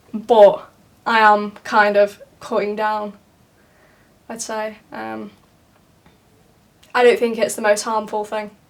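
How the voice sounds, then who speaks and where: Speaking very slowly with a Yorkshire accent, a woman uses a fairly high pitch and monotone, flat intonation, with long, frequent pauses and big swings in loudness. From northern England, Leeds. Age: 20s. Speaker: art student. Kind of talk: documentary interview. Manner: hesitant, with many fillers.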